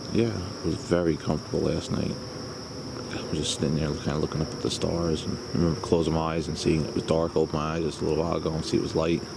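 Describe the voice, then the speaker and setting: Quiet and very deep, with a very low pitch, a man speaks at a very fast pace and fairly even intonation amid audible room echo and noticeable background noise. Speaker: camping vlogger. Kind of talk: casual vlog narration. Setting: outdoors at campsite.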